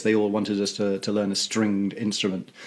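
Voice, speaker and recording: A man with an English accent, fairly low pitch and a very fast pace. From England. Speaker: theatre music director. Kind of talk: interview. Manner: halting, many fillers.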